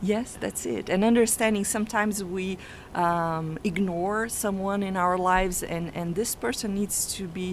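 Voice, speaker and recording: A woman with a non-native accent speaks at a medium pitch and a moderate pace. Her intonation stays fairly even. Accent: foreign accent, noticeable. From Brazil. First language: not English (English is her third language). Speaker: family constellation coach. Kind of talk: radio interview. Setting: radio studio.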